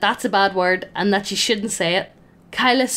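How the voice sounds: There's ordinary pitch variation throughout. This is a natural reading voice.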